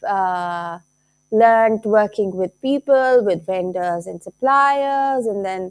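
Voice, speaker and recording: A woman's fairly high voice in a Pakistani accent, fairly slow in pace, with lively intonation. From Lahore, Pakistan. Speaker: teacher and craft entrepreneur. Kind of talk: casual talk to camera.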